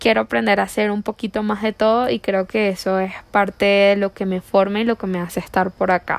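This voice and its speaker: A woman's normal speaking voice at medium pitch, fairly quick with hardly any pauses, fairly even in intonation, with a dry, close sound and no echo. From Venezuela, La Guaira. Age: 20s. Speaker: virtual assistant. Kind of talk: self-introduction video.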